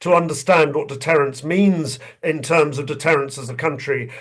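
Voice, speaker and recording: This man speaks with a southern English accent at a moderate pace. His pitch is fairly high, with ordinary variation. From England. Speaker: retired army general. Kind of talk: webinar talk.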